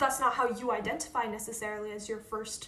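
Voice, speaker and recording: Over noticeable background noise and audible room echo, a woman speaks at a fairly quick pace. Her pitch is fairly high, and she has an American accent. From Northern Virginia, suburbs of Washington DC. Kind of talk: casual chat.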